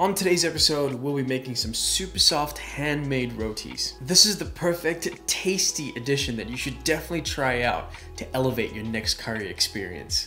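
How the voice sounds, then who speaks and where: A man speaks with hardly any pauses while faint music plays in the background. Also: moderate pace. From South Africa. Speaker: home cook, food channel host. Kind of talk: recipe tutorial voice-over. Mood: cheerful, friendly. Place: kitchen.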